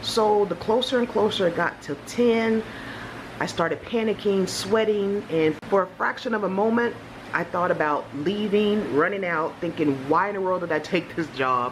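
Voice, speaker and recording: Noticeable background noise sits behind a woman speaking. She talks at a moderate pace with ordinary pitch variation. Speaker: vlogger, new teacher. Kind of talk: casual vlog chat. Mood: animated, storytelling. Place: home room.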